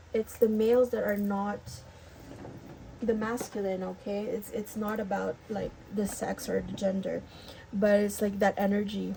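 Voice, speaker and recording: A woman mumbling at a moderate pace and medium pitch, monotone and flat, with long, frequent pauses and noticeable background noise. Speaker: tarot reader. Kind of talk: tarot reading to camera. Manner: hesitant, many fillers.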